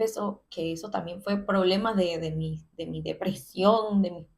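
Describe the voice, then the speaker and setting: Somewhat breathy, this voice unhurriedly proceeds at a fairly slow rate. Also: woman. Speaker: content creator sharing personal story. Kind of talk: personal testimony monologue. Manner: conversational, with hesitations.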